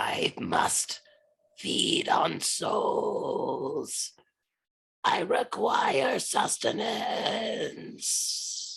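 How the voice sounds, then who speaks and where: Putting on a character voice, a man talks very slowly in an extremely high, raspy pitch. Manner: sinister, hungry.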